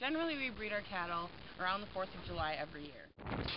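A woman talks at a fairly quick pace in a fairly low voice, the sound dry with no echo and noticeable background noise behind her. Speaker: farm family member explaining cattle breeding. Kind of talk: video narration. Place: farm machine. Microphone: phone near.

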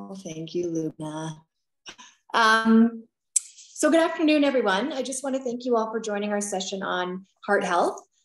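A woman speaks at a fairly slow pace with fairly high pitch. Her pitch swings very widely, and audible room echo surrounds her. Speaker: peer program coordinator, webinar host. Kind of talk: webinar moderation. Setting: video call. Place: home room. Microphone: video call.

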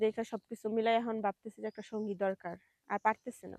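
In a dry, close recording with no echo, a woman speaks at a fairly high pitch with monotone, flat intonation. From Bangladesh, Kushtia. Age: 30s. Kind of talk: interview.

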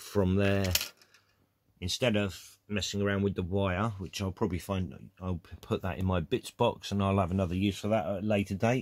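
At a moderate pace, a man speaks in a fairly low voice with fairly even intonation. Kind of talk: tutorial. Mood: relaxed, matter-of-fact. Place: workshop. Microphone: phone near.

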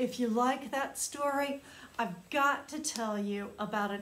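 A woman's very slow delivery with fairly even intonation. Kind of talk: storytime reading to children. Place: classroom. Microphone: phone near.

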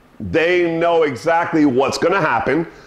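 The man talks fairly slowly. The room gives his words an audible echo. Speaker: dog trainer. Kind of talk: tutorial. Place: home room. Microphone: camera far.

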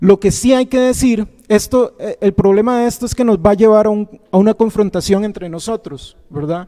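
A dark, mellow voice at a moderate pace, with ordinary pitch variation, hardly any pauses and a quiet background. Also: man, high pitch for a man. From Costa Rica. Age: 30s. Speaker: university professor. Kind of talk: panel talk. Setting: auditorium with audience. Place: classroom. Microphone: handheld.

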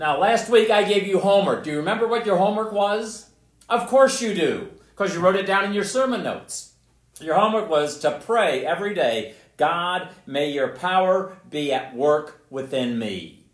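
Over a quiet background with audible room echo, a man speaks at a moderate pace in a high pitch with lively intonation. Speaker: pastor. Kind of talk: sermon. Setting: church. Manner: loud. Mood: warm, friendly. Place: church. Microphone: camera far.

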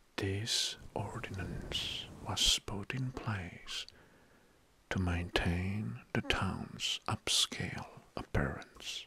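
Whispering, a man speaks at a very slow pace. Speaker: online video host. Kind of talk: soft-spoken commentary reading facts. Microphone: studio mic.

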